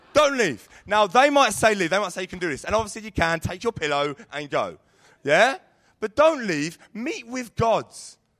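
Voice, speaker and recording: At a moderate pace, the voice has a London accent, a bright, sharp tone, and very wide pitch swings. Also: man, high pitch for a man. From London, Sidcup. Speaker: youth leader. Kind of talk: sermon. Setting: stage with audience.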